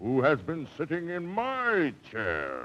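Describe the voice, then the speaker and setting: Doing a put-on character voice, a man speaks very slowly at a fairly high pitch. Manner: roaring.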